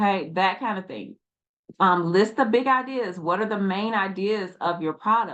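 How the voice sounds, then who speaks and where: Medium pitch from a woman with an ordinary speaking voice, ordinary pitch variation and a moderate pace. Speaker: online business coach. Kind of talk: tutorial.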